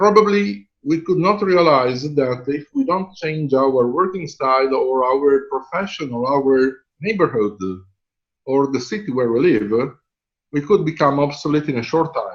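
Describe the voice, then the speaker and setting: A man's fairly high voice in an Italian accent, fairly slow in pace, with lively intonation. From Italy. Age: 50s. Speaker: professor. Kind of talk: lecture.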